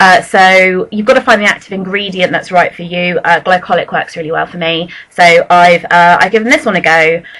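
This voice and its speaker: A woman speaks in a British accent at a medium pitch. Her pace is fairly quick. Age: 20s. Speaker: beauty vlogger. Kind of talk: product review vlog. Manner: fast; casual, hesitant fillers. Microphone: poor sound quality.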